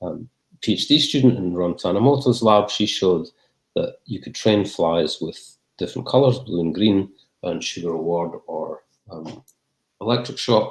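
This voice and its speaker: A man with a Scottish accent speaks at a fairly low pitch and a moderate pace. His intonation is lively, with big swings in loudness. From Scotland. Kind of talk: Q&A after academic talk. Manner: halting, many fillers and repeats.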